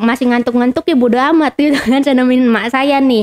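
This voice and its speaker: At a fairly quick pace, a woman speaks with a high pitch and a Jakarta accent. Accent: Betawi-style. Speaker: podcast guest sharing life story. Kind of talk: casual chat. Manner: animated.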